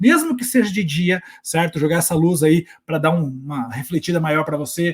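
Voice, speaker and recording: A man's high-pitched voice moves with lively intonation. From southern Brazil, Curitiba. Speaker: teacher and online educator. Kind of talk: workshop talk. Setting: home recording setup. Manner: fast; animated.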